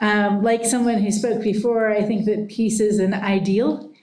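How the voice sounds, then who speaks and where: A woman at medium pitch, moderate pace and in a monotone, flat intonation, with audible room echo. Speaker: professor. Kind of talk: lecture. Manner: loud.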